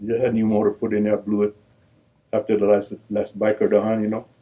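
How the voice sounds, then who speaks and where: This man has an American accent and a fairly low pitch. He talks at a fairly quick pace. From Filipino American, grew up in Richmond, California. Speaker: veteran motorcycle biker. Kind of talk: interview storytelling. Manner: halting, many repetitions.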